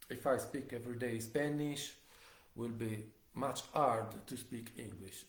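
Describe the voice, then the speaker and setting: With an Italian accent, a man speaks somewhat breathily with fairly even intonation, and audible room echo surrounds him. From Italy. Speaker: live streamer. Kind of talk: casual monologue. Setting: home kitchen livestream. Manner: halting.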